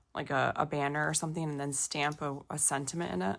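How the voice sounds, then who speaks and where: Noticeable background noise accompanies a woman with a very deep, low pitch, speaking at a moderate pace with ordinary pitch variation. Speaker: crafting YouTuber. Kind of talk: casual haul video. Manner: casual, with frequent fillers.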